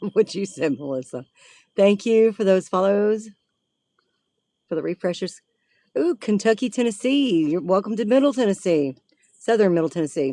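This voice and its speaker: Against a quiet background, a woman with a medium pitch and lively intonation speaks at a moderate pace with long, frequent pauses, the sound dry and close with no echo. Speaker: paranormal livestreamer. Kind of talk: live stream chat while driving. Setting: in a car.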